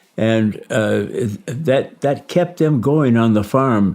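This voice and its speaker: With a Midwestern US accent, a man speaks at a medium pitch with ordinary pitch variation. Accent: US Midwest. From Michigan, US Midwest. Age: 90s. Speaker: war veteran. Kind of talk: interview testimony. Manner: halting.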